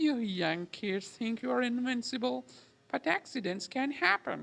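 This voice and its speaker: At a moderate pace, someone performs a put-on character voice with a fairly high pitch. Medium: solo performance. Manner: folksy, doting.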